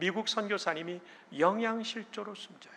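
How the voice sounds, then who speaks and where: A raised, projected voice with fairly even intonation. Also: man. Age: 60s. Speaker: pastor and seminary president. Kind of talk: sermon. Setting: church.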